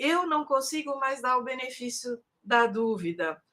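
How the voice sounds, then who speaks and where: A woman's high-pitched voice with a bright, sharp tone, lively intonation and a fairly slow pace. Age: 60s. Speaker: history professor. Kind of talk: live stream panel discussion.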